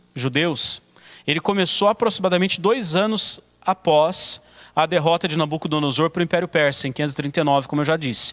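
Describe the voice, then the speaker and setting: Recorded with a dry, close sound and no echo, a man speaks at a fairly quick pace in a high pitch with lively intonation. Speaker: pastor teaching a theology course. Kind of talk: lecture. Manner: occasional stumbles and fillers.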